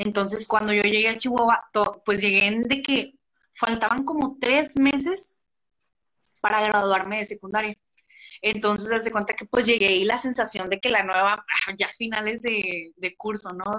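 Her fairly high voice has a bright, sharp tone, and this woman keeps a fairly even intonation at a moderate pace. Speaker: podcast host. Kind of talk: casual live chat. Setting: live stream on Instagram.

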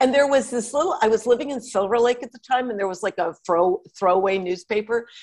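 Barely pausing, a woman with an American accent and fairly high pitch talks at a very fast pace with lively intonation. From Connecticut, US. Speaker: outdoor writer and journalist. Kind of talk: casual interview chat.

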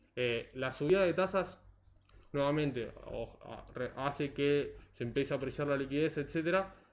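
Over a quiet background, a man with a normal speaking voice talks fairly slowly at a fairly high pitch, his pitch varying in an ordinary way. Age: 20s. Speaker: economist and financial analyst. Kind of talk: casual interview.

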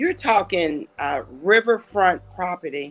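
With an unremarkable speaking voice, a woman speaks at a medium pitch and a fairly slow pace, using ordinary pitch variation. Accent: American. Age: 60s. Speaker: city mayor. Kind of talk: interview.

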